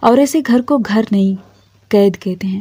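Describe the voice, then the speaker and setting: Somewhat breathy and dark, mellow in tone, a woman's medium-pitched voice shows ordinary pitch variation. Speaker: motivational speaker. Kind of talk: motivational monologue to camera.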